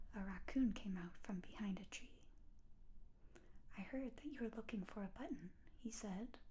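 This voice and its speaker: Soft-spoken, this woman talks at a fairly slow pace in a gentle tone that is dark and mellow. Her pitch is fairly high, with ordinary pitch variation. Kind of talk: bedtime story reading. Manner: gentle, soft-spoken.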